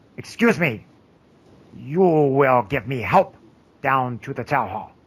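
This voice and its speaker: A man's put-on character voice at medium pitch, lively in intonation and fairly slow in pace. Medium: actual play. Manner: testy, commanding.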